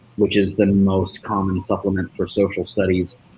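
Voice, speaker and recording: A man with an American accent talks at a moderate pace. His pitch is fairly low, in a monotone, flat intonation. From United States. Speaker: school principal. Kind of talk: informational explanation. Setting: livestream.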